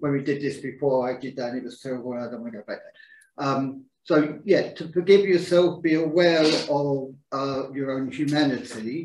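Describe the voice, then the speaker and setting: A man's ordinary speaking voice at a fairly high pitch and moderate pace, with ordinary pitch variation and big swings in loudness. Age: 60s. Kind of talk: group discussion. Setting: livestreamed group talk.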